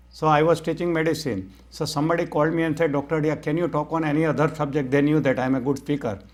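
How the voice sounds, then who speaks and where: With a Gujarati accent, the speech races at a very fast pace with hardly any pauses and fairly even intonation. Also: man, fairly high pitch for a man. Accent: Indian (Gujarati) English. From India, Gujarat (Rajkot). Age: 60s. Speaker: mind-power trainer and physician. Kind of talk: interview.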